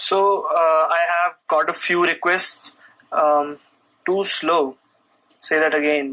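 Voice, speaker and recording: Speaking with an Indian accent, a man has a high pitch, a bright, sharp tone and fairly even intonation. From India, New Delhi. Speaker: programming content creator. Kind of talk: live stream Q&A chat. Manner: halting, many fillers.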